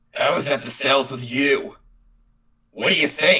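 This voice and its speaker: This put-on character voice is raspy and pitched low-to-middle. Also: moderate pace. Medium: audio drama. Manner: laid-back, sarcastic.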